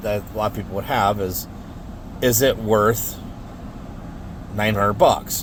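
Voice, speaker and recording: There is noticeable background noise. Over it, a man speaks at medium pitch. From United States. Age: 50s. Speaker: car audio hobbyist reviewer. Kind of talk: casual product review. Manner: halting, many fillers.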